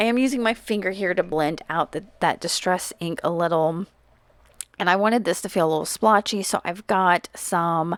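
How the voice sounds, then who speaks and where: At a moderate pace and a medium pitch, a woman with an unremarkable speaking voice shows ordinary pitch variation in a dry, close sound with no echo. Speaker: crafter. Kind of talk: tutorial.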